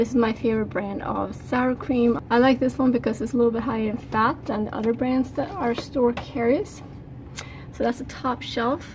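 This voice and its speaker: Against light background noise, a woman speaks at a high pitch. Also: fairly even intonation, moderate pace. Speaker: home cook vlogger. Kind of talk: casual vlog chat. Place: kitchen. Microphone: phone near.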